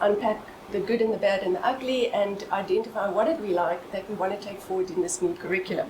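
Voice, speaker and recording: There is noticeable background noise. A woman talks at a fairly quick pace. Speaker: professor. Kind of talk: seminar presentation. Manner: fast.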